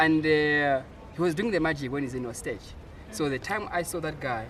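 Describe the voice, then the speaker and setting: Speaking at a moderate pace, a man with a fairly high pitch uses lively intonation amid audible room echo. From Malawi, rural village. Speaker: musician and producer. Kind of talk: interview.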